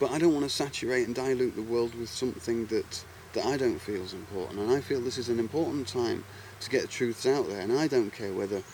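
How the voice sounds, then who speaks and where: A man at a very fast pace, medium in pitch, with ordinary pitch variation and an English accent. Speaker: video blogger. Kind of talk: monologue vlog. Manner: halting, repetitive.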